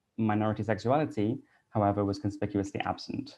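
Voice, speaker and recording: A man with a Welsh accent speaks in a fairly low pitch with a dark, mellow tone. The background is quiet. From Wales (Cardiff). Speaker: English teacher and researcher. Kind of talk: conference talk.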